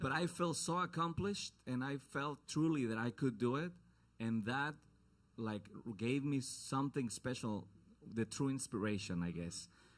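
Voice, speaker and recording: A man with a Mexican accent, medium pitch, lively intonation and a moderate pace, on a very clean recording against a silent background. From Mexico, Guadalajara. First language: Spanish. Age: 30s. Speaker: singer-songwriter. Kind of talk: onstage introduction to a song. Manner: casual, halting.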